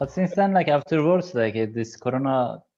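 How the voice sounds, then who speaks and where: A man in a Kurdish accent, dark and mellow in tone, at a fairly quick pace with ordinary pitch variation, over a quiet background. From Kurdish region of Turkey. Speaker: PhD researcher. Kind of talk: casual chat.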